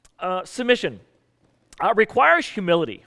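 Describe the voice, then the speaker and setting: A man with an American accent projects a raised voice in a bright, sharp tone, recorded dry and close with no echo. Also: very clean recording, silent background. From US South. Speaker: pastor. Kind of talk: sermon.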